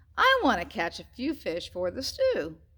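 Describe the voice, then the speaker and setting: A woman uses a put-on character voice. It sounds cheerful and moves at a moderate pace. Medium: read story. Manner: eager, cheerful.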